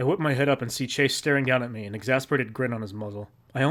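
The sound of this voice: An unforced reading voice. It carries the whole clip.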